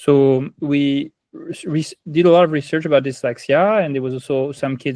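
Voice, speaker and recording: Against a quiet background, a man with a strong French accent speaks at a fairly high pitch with fairly even intonation, the sound dry and close with no echo. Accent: heavy French. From France. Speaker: ed-tech company founder. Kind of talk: interview.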